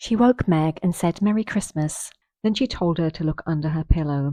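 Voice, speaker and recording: A woman with a British accent speaks at a moderate pace in a dark, mellow tone, her pitch fairly low with ordinary variation. The sound is dry and close with no echo, over a quiet background. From Britain. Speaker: audiobook narrator for English learners. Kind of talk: reading aloud. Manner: steady pace; clear, careful.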